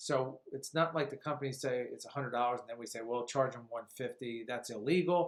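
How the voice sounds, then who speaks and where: Fairly even intonation from a man at medium pitch. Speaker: insurance agent. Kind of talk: explainer video with screen walkthrough. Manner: fast; casual, conversational.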